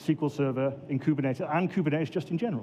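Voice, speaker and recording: A man with a Welsh accent talks at a very fast pace. His pitch is fairly high, with ordinary variation. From Wales, Swansea. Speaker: database administrator, conference speaker. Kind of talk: conference talk.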